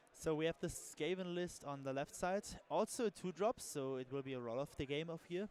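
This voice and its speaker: In a German accent, a man speaks at a fairly quick pace with a fairly high pitch. His pitch varies in an ordinary way, and the sound is dry and close with no echo. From Germany. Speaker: tabletop game commentator. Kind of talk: live commentary. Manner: halting.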